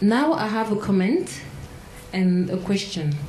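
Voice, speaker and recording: Someone with a French accent speaks at a fairly slow pace with lively intonation. Audible room echo and noticeable background noise sit around the voice. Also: woman. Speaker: prosecutor. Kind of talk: audience question.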